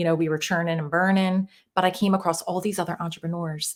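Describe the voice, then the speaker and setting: At a moderate pace, a woman with a Philadelphia accent speaks with fairly low pitch. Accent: Jersey Philly. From US Northeast, Northeast Philadelphia. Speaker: mindset coach. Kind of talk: podcast interview.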